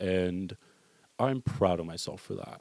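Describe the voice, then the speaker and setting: With lively intonation, a man speaks in a dark, mellow tone, recorded with a dry, close sound and no echo. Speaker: podcast host. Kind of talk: casual solo podcast monologue. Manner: fast; animated.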